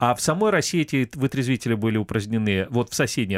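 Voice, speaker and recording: A man with a plain, everyday voice talks fairly quickly at a medium pitch with ordinary pitch variation, recorded very cleanly against a silent background with a dry, close sound and no echo. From Crimea, Kerch. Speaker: radio host. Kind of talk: casual chat.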